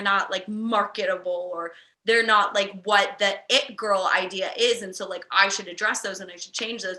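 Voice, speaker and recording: The recording is very clean, with a silent background. A woman with a medium pitch and a bright, sharp tone speaks at a moderate pace. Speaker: podcast host. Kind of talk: casual chat. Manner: loud.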